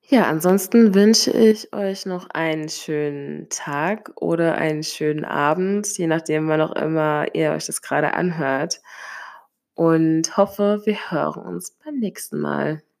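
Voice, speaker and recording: A woman's fairly low voice with ordinary pitch variation, at a very slow pace, on a very clean recording with a silent background. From Hesse, Germany (near Limburg an der Lahn). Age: 20s. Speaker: podcaster. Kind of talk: solo podcast monologue. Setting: home, sitting on living room floor.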